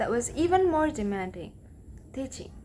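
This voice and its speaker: A woman with a non-native accent speaks at a fairly quick pace with very wide pitch swings. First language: not English. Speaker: English language learner. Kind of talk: read-aloud pronunciation practice of a talk.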